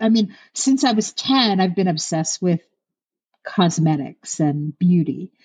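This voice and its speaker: Somewhat breathy speech from a woman with an American accent, at a fairly slow pace in a quiet background. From US East Coast. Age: 50s. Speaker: celebrity makeup artist. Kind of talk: casual interview chat. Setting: remote call.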